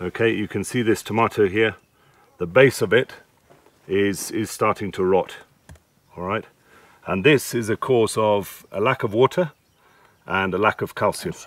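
At a moderate pace, a man talks with long, frequent pauses and ordinary pitch variation, in a dry sound with no echo. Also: fairly low pitch for a man. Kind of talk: advice explanation to farmer. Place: farm machine.

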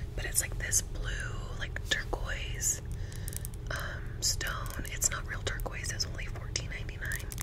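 Whispering from a woman, at a fairly slow pace. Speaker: ASMR creator. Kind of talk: ASMR shopping haul. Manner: whispered. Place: home room. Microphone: studio mic.

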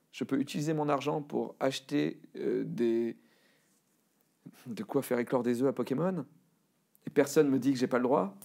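A man with a dark, mellow tone speaks at a moderate pace with long, frequent pauses in a quiet background. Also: ordinary pitch variation. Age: 40s. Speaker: cartoonist and voice actor. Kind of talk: interview answer. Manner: casual, self-deprecating. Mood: candid, self-deprecating, personal. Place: studio.

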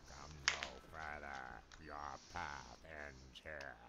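A put-on character voice comes through gravelly and very slow. Loud background noise sits behind it. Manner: commanding, warning.

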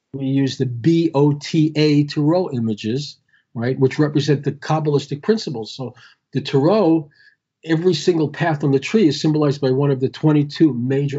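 At a moderate pace, a man with a fairly high, somewhat breathy voice speaks with ordinary pitch variation. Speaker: Kabbalah teacher. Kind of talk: interview on spirituality. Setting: Skype call. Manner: halting, repeats words. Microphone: patchy connection.

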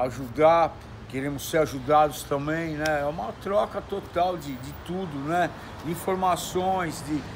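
A man speaks at a fairly slow pace with a fairly high pitch and ordinary pitch variation, over noticeable background noise. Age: 60s. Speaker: former internet TV show host. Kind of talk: casual chat. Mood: reflective, slightly aggrieved. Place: street. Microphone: phone near.

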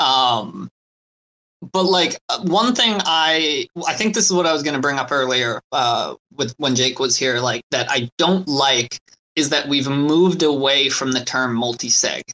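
A man with a plain, everyday voice talks fairly slowly at a fairly high pitch, his intonation lively. The sound is dry and close with no echo. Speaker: crypto community member. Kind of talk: casual chat. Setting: online audio room.

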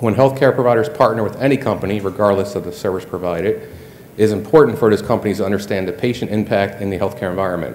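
The speaker is a man. His pitch sits fairly low. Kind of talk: acceptance speech. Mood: slightly nervous, self-deprecating. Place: hall. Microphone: podium.

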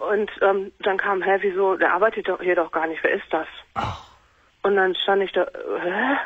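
A woman speaks at a moderate pace and medium pitch, her intonation fairly even. She leaves long, frequent pauses. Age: 20s. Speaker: caller. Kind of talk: phone-in call.

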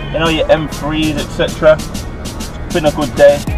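A man's voice, dry with no echo, comes over clear background music. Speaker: car vlogger. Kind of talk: casual vlog chat. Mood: relaxed and upbeat. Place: car. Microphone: camera far.

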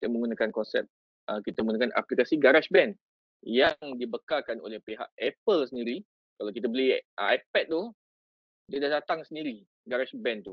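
In a Malaysian accent, a man with fairly high pitch speaks at a fairly quick pace with lively intonation and long, frequent pauses, recorded dry with no echo against a quiet background. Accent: Malaysian Malay. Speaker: teacher and education officer. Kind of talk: tutorial. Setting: video call. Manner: animated. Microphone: video call.

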